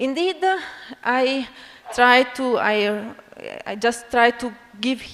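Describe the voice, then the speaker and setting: A woman with an Italian accent speaks very slowly at a high pitch, with long, frequent pauses. Noticeable background noise runs behind her. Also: ordinary pitch variation. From Italy (Bologna). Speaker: physics education researcher, university academic. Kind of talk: conference lecture. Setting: conference stage with audience. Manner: halting, many fillers.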